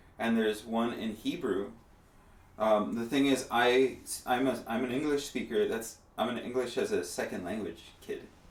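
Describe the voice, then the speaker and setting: A man's medium-pitched voice with a Spanish accent, fairly even intonation and a moderate pace, with audible room echo. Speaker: musician. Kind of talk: casual chat. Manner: halting.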